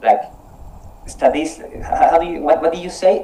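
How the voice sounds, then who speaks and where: A man talks with a Spanish accent. Noticeable background noise runs under his voice. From Colombia. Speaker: English conversation club leader. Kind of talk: casual online conversation practice. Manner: halting, repeats words.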